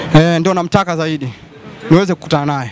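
Light background noise sits under a dry sound with no echo, and the intonation stays fairly even. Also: man. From Tanzania, Mbeya region; Tanzania. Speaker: boxer. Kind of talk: post-fight interview. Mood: proud, confident after winning. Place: hall. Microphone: handheld.

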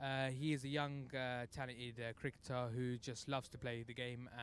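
A man's fairly quick, monotone delivery with flat intonation, dry sound with no echo, and light background noise. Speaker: cricket team captain. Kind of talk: post-match interview. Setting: outdoors at cricket ground. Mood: proud, relieved after win. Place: street. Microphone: handheld.

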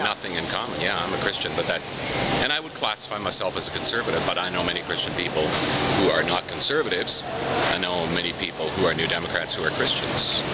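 Heavy noise sits behind the recording. Over it, a man speaks very fast. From Canada. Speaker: former talk radio host. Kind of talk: interview answer. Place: shop. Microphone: phone near.

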